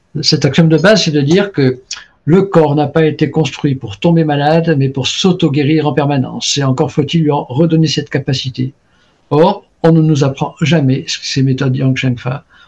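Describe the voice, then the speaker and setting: At a moderate pace, a man speaks in a somewhat breathy voice with fairly high pitch and fairly even intonation. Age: 70s. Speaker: traditional Chinese medicine practitioner and author. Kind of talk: interview conversation. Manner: hesitant, many fillers and repetitions.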